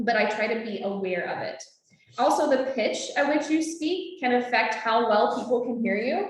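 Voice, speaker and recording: The voice has an animated tone and lively intonation at a moderate pace, with audible room echo. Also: woman. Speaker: naturalist trainer. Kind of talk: lecture. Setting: classroom with Zoom audience.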